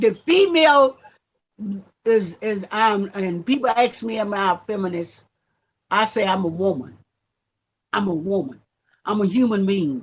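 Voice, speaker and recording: Speaking at a fairly slow pace, a woman uses lively intonation and a somewhat breathy voice, with long, frequent pauses. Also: medium pitch for a woman. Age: 70s. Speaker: activist and reverend. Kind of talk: casual interview conversation. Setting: live stream.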